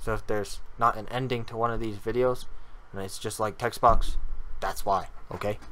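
A man's flat, monotone voice at a fairly quick pace, broken by long, frequent pauses. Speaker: YouTuber. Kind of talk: casual talk to camera. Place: home room.

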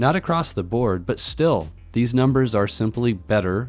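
Music plays in the background. A man with a fairly low pitch speaks at a moderate pace. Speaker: tech hobbyist YouTuber. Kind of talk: tech tutorial voice-over. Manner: casual.

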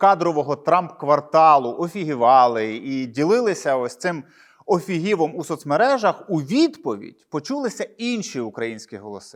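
On a very clean recording with a silent background, a man talks at a fairly slow pace, his fairly high pitch moving in very wide swings. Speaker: journalist video blogger. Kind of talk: solo commentary monologue. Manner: sarcastic.

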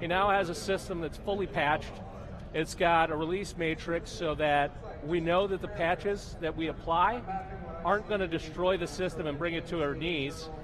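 Over noticeable background noise, a man speaks at a moderate pace in a high pitch with fairly even intonation. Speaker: IT manager. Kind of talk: interview. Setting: trade show floor. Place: studio. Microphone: lapel.

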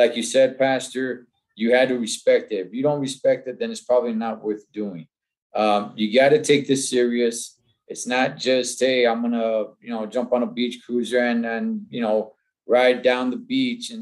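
A man at a moderate pace and with fairly even intonation, over a quiet background. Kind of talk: casual conversation announcement. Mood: earnest, inviting. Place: home room. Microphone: video call.

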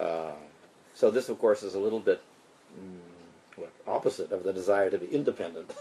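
The delivery comes at a fairly slow pace. Loudness swings widely throughout. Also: man. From Canada. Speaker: monk and spiritual teacher. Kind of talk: lecture. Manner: short phrases paused for translation.

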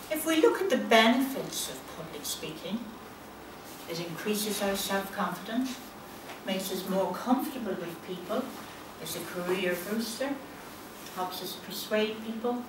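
A woman talks at a moderate pace with long, frequent pauses, ordinary pitch variation and big swings in loudness, with audible room echo and noticeable background noise. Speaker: life coach. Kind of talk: prepared speech. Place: hall. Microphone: camera far.

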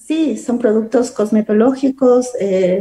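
A woman's somewhat breathy voice comes through in a dark, mellow tone. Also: quiet background. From Ecuador, Catamayo (Loja province). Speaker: beautician and entrepreneur. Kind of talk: interview. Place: home room. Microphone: video call.

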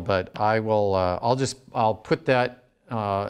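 A man with a fairly low pitch and fairly even intonation speaks over a quiet background. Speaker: university lecturer. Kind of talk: lecture. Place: classroom. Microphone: lapel.

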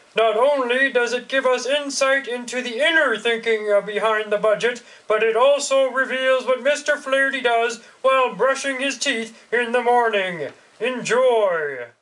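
A man's extremely high-pitched voice at a moderate pace. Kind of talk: mock news anchor delivery.

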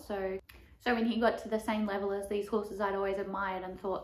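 A woman talks at a fairly quick pace in a monotone, flat intonation. Audible room echo hangs around her voice. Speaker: barrel racer vlogger. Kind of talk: casual vlog chat. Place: home room. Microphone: camera far.

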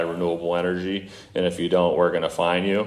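A man talks with a very deep, low pitch and monotone, flat intonation. Room echo is audible. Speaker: solar energy company representative. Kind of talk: presentation to city council. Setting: city council meeting. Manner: halting; loud.

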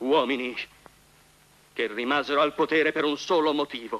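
The recording is dry and close, with no echo. A man speaks at a moderate pace in a fairly high pitch with fairly even intonation. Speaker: defense lawyer in film courtroom scene. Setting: tribunal courtroom scene from a film. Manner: formal, forceful, indignant, rhetorical; emphatic, repeating words for effect.

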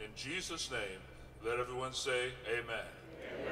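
A man speaks over light background noise. The room has an audible echo. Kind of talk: prayer. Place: waterside. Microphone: podium.

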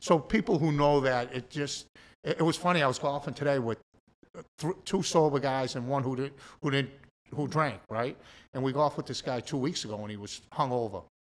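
With a Boston accent, a man speaks at a fairly quick pace and ordinary pitch variation. Long, frequent pauses break up his speech. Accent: Boston-area New England. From Massachusetts. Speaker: recovering addict; podcast guest. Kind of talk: testimony. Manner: animated. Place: studio. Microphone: studio mic.

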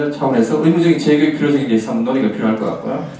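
A man's voice moves through very wide pitch swings, with audible room echo around it. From South Korea. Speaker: taekwondo gym owner; presenter. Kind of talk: presentation at a meeting. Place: hall.

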